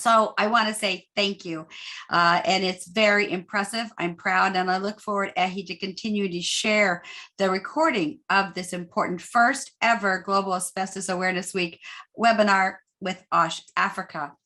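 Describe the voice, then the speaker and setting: A woman with an American accent, a bright, sharp tone and fairly even intonation against a quiet background. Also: medium pitch for a woman, moderate pace. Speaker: nonprofit co-founder and asbestos advocate. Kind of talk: webinar presentation.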